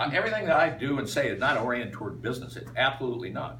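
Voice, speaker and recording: Talking very fast at a medium pitch, a man with an American accent is heard amid noticeable background noise and audible room echo. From Iowa, US Midwest. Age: 60s. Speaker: political candidate. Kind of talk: campaign speech. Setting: meet and greet with audience. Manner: halting, many fillers.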